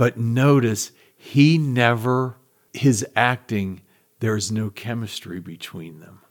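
This man's delivery is very slow. The rise and fall of his pitch is ordinary. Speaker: guest, host's father. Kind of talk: casual chat.

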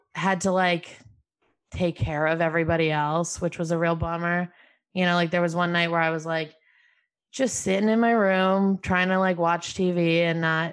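With an American accent, a woman speaks at a moderate pace in a fairly low pitch. Her intonation is monotone and flat, her loudness very even, and the background quiet. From upstate New York, Albany. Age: 20s. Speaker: comedian. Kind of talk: casual chat.

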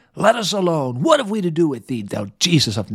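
In a put-on character voice, a man growls at fairly high pitch, guttural and at a fairly quick pace, with very wide pitch swings. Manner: snarling.

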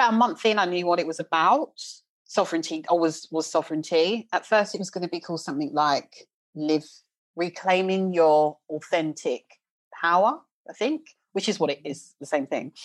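At a moderate pace, a woman speaks in a quiet background with a fairly low pitch and ordinary pitch variation. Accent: South London. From South London, England. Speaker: leadership coach. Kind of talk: casual chat.

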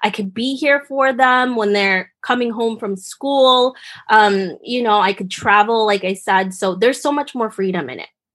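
With an unremarkable speaking voice, a woman talks at a fairly high pitch and a moderate pace, with ordinary pitch variation, hardly any pauses and a quiet background. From Philippines, moved to US as a child. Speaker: podcast host and consultant. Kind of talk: casual interview. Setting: remote call.

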